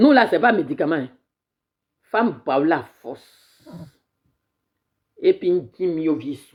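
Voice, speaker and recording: A woman talks very slowly at a fairly low pitch, with long, frequent pauses, big swings in loudness and very wide pitch swings. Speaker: activist livestreamer. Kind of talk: live stream political commentary. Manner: animated.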